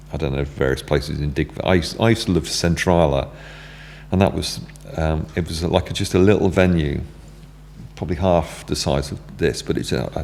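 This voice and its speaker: A man with a very deep, low pitch speaks at a fairly quick pace with ordinary pitch variation. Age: 60s. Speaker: music venue owner. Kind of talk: casual chat. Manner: halting, many fillers and restarts.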